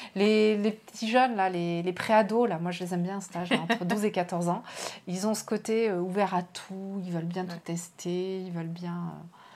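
At a moderate pace, a woman with a plain, everyday voice speaks at medium pitch with fairly even intonation and big swings in loudness. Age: 40s. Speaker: novelist. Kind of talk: casual interview. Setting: live online stream.

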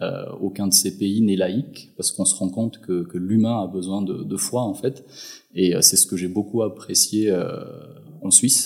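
At a fairly slow pace, a man with an unremarkable speaking voice speaks fairly low in pitch with fairly even intonation. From Madagascar. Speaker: entrepreneur. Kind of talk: interview. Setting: at his home.

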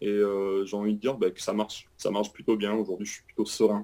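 A man's dark, mellow tone. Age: 30s. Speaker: retail store manager. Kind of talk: interview.

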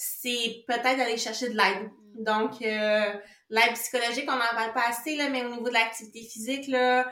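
A woman's high pitch in monotone, flat intonation at a fairly slow pace, with audible room echo. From Quebec. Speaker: kinesiologist. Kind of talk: casual interview chat. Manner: stutter.

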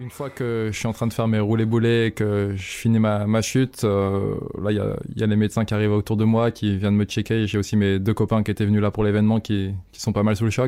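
A man's fairly low, dark, mellow voice in monotone, flat intonation, on a very clean recording with a silent background. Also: fairly quick pace. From eastern France, near Evian (Haute-Savoie). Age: 20s. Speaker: professional freeride mountain biker. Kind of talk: interview testimony. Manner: halting, many repetitions and fillers.

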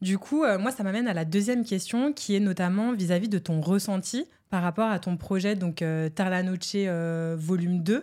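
A woman speaks at a moderate pace with a medium pitch, ordinary pitch variation, very even loudness and a dark, mellow tone, with hardly any pauses, on a very clean recording with a silent background. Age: 20s. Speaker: podcast host. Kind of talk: casual chat.

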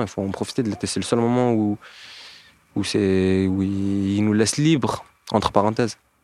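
A man's fairly low, dark and mellow voice with fairly even intonation at a moderate pace. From Montpellier, southern France. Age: 20s. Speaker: unemployed young man. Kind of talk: casual interview. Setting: outdoors.

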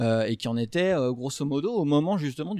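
Moderately paced, a man speaks in a dark, mellow tone. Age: 30s. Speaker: fantasy author. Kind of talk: casual chat. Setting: live recording with audience.

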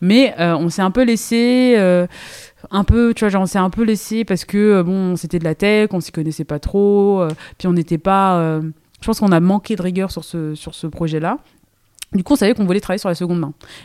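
In a very clean recording with a silent background, a woman speaks at a moderate pace with a dark, mellow tone, a medium pitch and ordinary pitch variation. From Île-de-France, Seine-et-Marne. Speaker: entrepreneur, brand co-founder. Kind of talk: casual interview chat. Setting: in person at her workshop. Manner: hesitant, many fillers.

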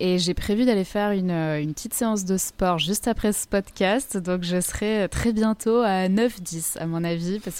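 A woman at medium pitch speaks at a fairly slow pace with hardly any pauses. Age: 20s. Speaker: model and wellness coach. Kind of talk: casual interview. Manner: soft-spoken.

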